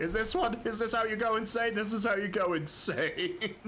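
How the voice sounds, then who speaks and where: Through audible room echo and noticeable background noise, a man speaks in a raised, projected voice with lively intonation. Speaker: gaming streamer. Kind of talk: casual live gameplay commentary. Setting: livestream. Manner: animated, excitable; stammering, repeats words.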